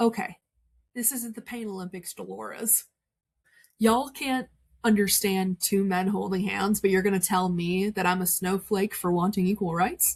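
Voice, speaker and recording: Her pace is moderate and her pitch is medium for a woman. The woman's voice comes across as somewhat breathy. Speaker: witch. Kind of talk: casual podcast chat. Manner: animated.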